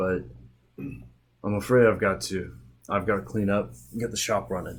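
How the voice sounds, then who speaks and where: In a raspy put-on character voice, a man speaks at a fairly low pitch and a moderate pace. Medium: actual play. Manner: gruff, folksy.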